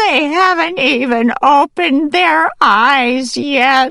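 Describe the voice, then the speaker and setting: A put-on character voice, female-sounding, shaky and high-pitched, at a very slow pace. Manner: pleading.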